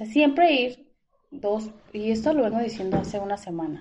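Her tone dark and mellow, a woman speaks at a fairly high pitch and a fairly slow pace with lively intonation. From Mexico, Guadalajara. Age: 30s. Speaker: dental product saleswoman. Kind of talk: casual interview.

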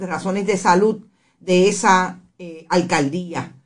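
A woman is speaking. Her pace is very slow. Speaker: radio journalist and host. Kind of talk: radio interview. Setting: studio. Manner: halting, many fillers.

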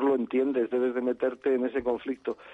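A man's voice at medium pitch. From Madrid. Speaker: stage actor. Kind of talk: interview. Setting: phone call.

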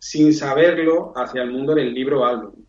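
A man talks with ordinary pitch variation over audible room echo. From Spain, Seville. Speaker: book publisher. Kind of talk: interview.

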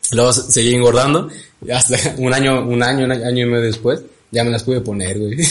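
Speaking at a fairly quick pace, a man with a Mexican accent uses a medium pitch and fairly even intonation, with audible echo in the room. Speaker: podcast co-host. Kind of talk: casual chat.

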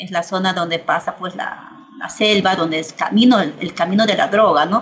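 This woman has a plain, everyday voice, speaking in a medium pitch at a moderate pace with ordinary pitch variation. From Peru, Ayacucho. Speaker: political analyst. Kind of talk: interview. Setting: video call.

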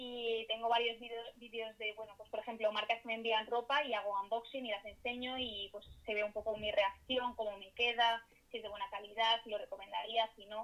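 A woman's fairly high, monotone voice with flat intonation, fairly quick, with big swings in loudness and noticeable background noise. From Spain, Madrid. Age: 20s. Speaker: youtuber and content creator. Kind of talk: casual interview.

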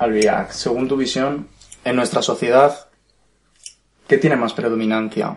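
Long, frequent pauses break up this man's fairly slow speech. His pitch is medium, with ordinary pitch variation. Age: young. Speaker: podcast interviewer. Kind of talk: interview.

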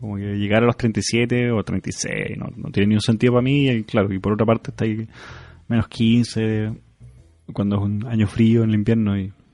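Over music in the background, a man with a fairly low pitch talks at a moderate pace in a monotone, flat delivery broken by long, frequent pauses. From Chile. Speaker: podcast host. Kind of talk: casual chat.

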